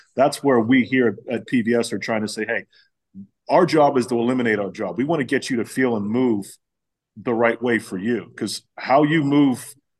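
A man with an American accent talks in an unremarkable speaking voice at a medium pitch and moderate pace, with ordinary pitch variation. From Pittsburgh, US. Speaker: facility owner and pitching coach. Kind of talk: casual interview chat.

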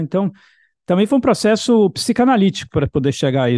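A fairly quick pace with lively intonation. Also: man. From Brazil, Bahia. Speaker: composer and professor. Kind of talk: interview. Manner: halting, repetitive.

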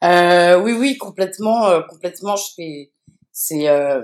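At a very slow pace, a woman talks in a fairly low pitch with ordinary pitch variation. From France. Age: 40s. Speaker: DJ and activist. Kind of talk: casual interview. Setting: remote recording. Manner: halting, many fillers and repetitions.

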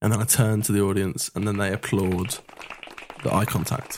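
A man's fairly low, fairly even voice at a moderate pace, with crowd noise behind him. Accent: English. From England. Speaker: podcast host. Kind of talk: casual banter, comedic interview games.

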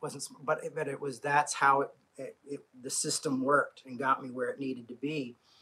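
The tone is bright and sharp, with a slightly husky edge. The pace is moderate and the pitch moves little. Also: man.

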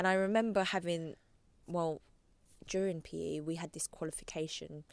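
With a London accent, a woman speaks fairly quickly at a fairly low pitch in a very clean recording with a silent background. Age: 30s. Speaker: fitness trainer and blogger. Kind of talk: casual interview chat.

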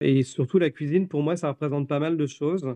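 Fairly even intonation carries this man's speech along at a moderate pace. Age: 40s. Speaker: coffee roaster and business owner. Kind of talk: interview.

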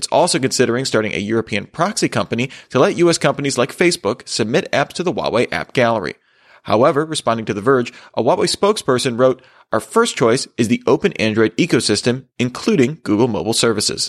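Very fast and with lively intonation, a man speaks at a medium pitch in a very clean recording with a silent background. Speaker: tech news host. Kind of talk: news reading, scripted headlines bulletin. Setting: studio. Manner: formal, steady and brisk; even, neutral delivery.

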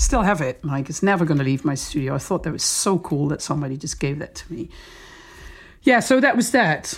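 A woman speaks with a Dutch accent at a fairly quick pace, her pitch very deep and low. Her intonation is lively. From southern Netherlands, between Den Bosch and Eindhoven. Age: 40s. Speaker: DJ and music producer. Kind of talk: casual chat.

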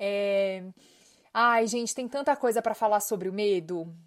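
An animated woman at a fairly slow pace, on a very clean recording with a silent background. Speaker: podcast host and life coach. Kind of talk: casual monologue.

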